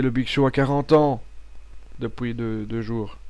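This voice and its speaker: With a Belgian accent, a man speaks at a fairly slow pace in a medium pitch. His tone is dark and mellow, with fairly even intonation. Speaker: wrestling podcast host. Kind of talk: pre-recorded audio show monologue. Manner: hesitant, with fillers and repetitions.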